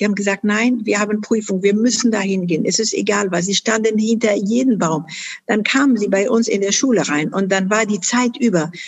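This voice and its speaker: Speaking at a fairly quick pace, a woman sounds somewhat breathy, with ordinary pitch variation and very even loudness. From Afghanistan, Kunduz. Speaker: charity founder and chairwoman. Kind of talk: interview. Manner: hesitant with many fillers.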